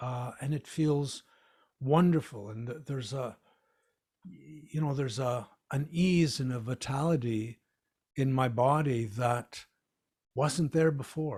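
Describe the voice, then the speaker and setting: A somewhat breathy man's voice at a fairly slow pace, with ordinary pitch variation and long, frequent pauses. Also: medium pitch for a man. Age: 60s. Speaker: fitness author. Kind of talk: casual chat. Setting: video call.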